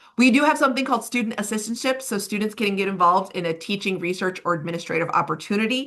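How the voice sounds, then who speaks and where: A woman's bright, sharp tone. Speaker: program director. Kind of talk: webinar presentation. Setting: webinar. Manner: fast.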